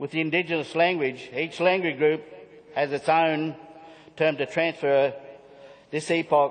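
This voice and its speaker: A man with a fairly high pitch, moderate pace and monotone, flat intonation. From Australia, southwest Queensland. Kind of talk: conference speech. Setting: conference hall with audience and screen. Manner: halting, with restarts.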